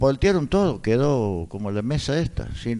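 With a dark, mellow tone, a man's voice swings very widely in pitch. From Córdoba, Argentina. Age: 60s. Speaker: former cinema owner. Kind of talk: radio interview. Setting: radio studio.

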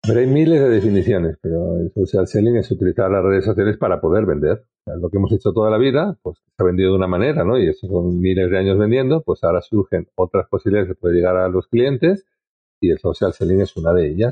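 A man talks very fast in a fairly low voice. His pitch varies in an ordinary way and his loudness stays very even. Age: 50s. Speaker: sales trainer and social selling expert. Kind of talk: casual interview conversation.

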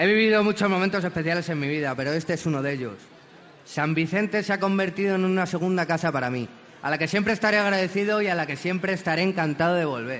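A man talks at a very fast pace. His voice is high in pitch. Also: ordinary pitch variation. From Alicante, Spain. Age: 20s. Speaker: actor. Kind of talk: festival proclamation speech. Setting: balcony before crowd.

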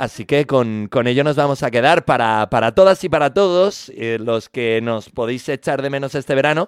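Animated man, medium pitch, ordinary pitch variation, dry, close sound with no echo. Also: moderate pace. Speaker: radio music show host. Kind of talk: radio DJ presentation.

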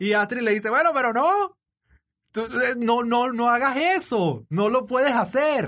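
A man with a Venezuelan accent at a fairly slow pace, extremely high pitch, lively intonation and very even loudness. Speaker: podcast host and father. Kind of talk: casual interview chat.

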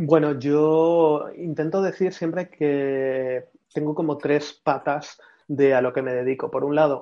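An unremarkable speaking voice from a man, fairly high in pitch, with fairly even intonation. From Spain, Madrid. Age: 30s. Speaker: brand consultant and writer. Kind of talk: casual interview. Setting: video call.

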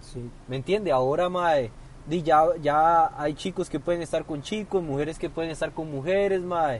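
With ordinary pitch variation, a man speaks in a fairly high voice, an ordinary speaking voice. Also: moderate pace. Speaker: podcast co-host. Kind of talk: casual chat. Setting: parked car.

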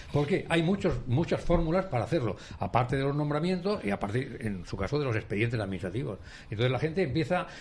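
A man speaks at a very fast pace with a fairly high pitch and vocal fry. His pitch swings very widely. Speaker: panelist, retired civil servant. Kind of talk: talk radio debate.

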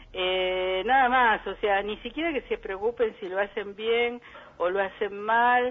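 Speaking at a fairly slow pace, a woman has an unremarkable speaking voice pitched fairly high. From Buenos Aires suburbs (conurbano), Argentina. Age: 60s. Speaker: psychologist and poet. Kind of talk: interview. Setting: phone call.

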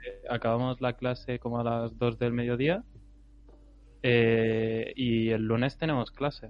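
Very slowly, a man talks at a medium pitch, his intonation monotone and flat. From Catalonia, Costa Brava near Girona. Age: young. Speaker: podcast co-host and student. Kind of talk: casual chat. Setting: live stream.

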